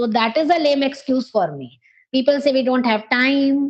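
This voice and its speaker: A high-pitched woman's voice with an Indian accent at a moderate pace. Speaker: English teacher. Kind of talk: coaching conversation.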